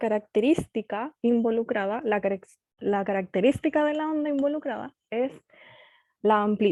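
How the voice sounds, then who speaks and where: Her pitch fairly high and her intonation lively, a woman talks at a fairly slow pace. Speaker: physics teacher. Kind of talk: online lecture.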